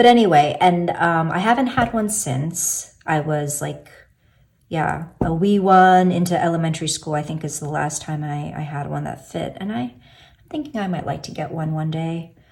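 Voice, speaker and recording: This woman talks at a moderate pace in an American accent, her voice fairly low and somewhat breathy. Her loudness swings widely. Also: ordinary pitch variation. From US, Korean heritage. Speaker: tarot youtuber. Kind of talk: casual video talk, deck walkthrough. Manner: hesitant, many fillers.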